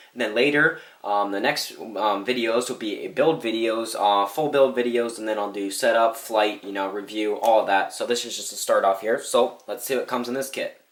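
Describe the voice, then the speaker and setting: A man speaks at a medium pitch with hardly any pauses. His intonation is fairly even, and background noise is noticeable. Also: moderate pace. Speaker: RC hobby youtuber. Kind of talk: product review. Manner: casual, many fillers.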